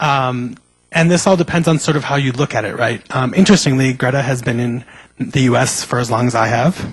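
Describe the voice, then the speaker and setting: The man's voice is somewhat breathy and medium in pitch. He talks at a fairly quick pace with ordinary pitch variation. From US (raised from toddler; born in Mexico). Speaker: panelist, student. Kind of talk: panel discussion. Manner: halting, many fillers.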